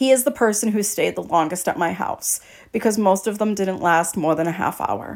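On a very clean recording with a silent background, a woman speaks in an animated tone at a moderate pace, her medium pitch showing ordinary variation. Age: 30s. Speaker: podcast host. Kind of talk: casual monologue.

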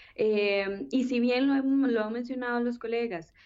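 This is an ordinary speaking voice. It moves at a fairly slow pace with fairly even intonation. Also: woman. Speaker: political science researcher. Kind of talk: panel discussion. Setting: remote call.

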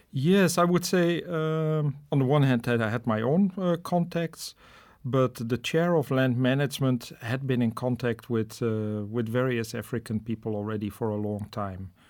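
With a Dutch accent, a man speaks at a moderate pace in a medium pitch with lively intonation. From Netherlands. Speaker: professor. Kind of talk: interview. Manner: hesitant, many fillers.

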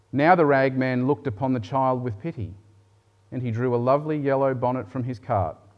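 Intonation stays fairly even as someone reads aloud in a natural voice.

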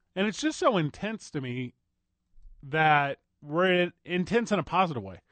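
The speech moves at a fairly slow pace with lively intonation, in a dry, close sound with no echo over a quiet background. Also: man. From US Midwest. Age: 30s. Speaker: sports radio host. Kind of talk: sports talk radio. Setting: radio studio.

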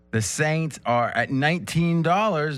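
Very slow speech over background music. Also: man. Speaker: sports betting show host. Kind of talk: casual roundtable chat. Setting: studio. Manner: animated, laughs often.

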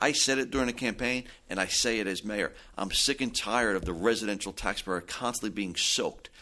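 A man with a New Jersey accent talks at a fairly quick pace in a medium pitch, his bright, sharp tone carrying ordinary pitch variation. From New Jersey, Belleville. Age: 40s. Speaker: mayor. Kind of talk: interview. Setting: studio.

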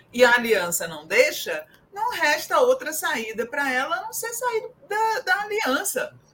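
Over noticeable background noise, a woman uses a raised, projected voice with very wide pitch swings at a fairly slow pace. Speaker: political commentator. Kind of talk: panel discussion.

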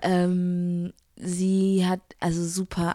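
A woman's dark, mellow, monotone voice with flat intonation, in a dry, close sound with no echo and a very clean recording with a silent background. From Frankfurt, Germany. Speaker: singer. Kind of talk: interview.

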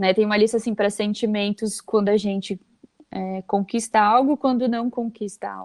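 A woman speaks in a fairly high pitch with monotone, flat intonation, and the sound is dry and close with no echo. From Brazil, Santa Catarina (Vale do Itajaí). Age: 20s. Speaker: HR manager. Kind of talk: interview, explaining a communication technique.

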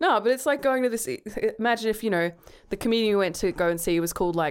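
In an Australian accent, a woman talks with lively intonation at a fairly high pitch. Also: very clean recording, silent background. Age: 30s. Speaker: podcast co-host. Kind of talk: casual chat.

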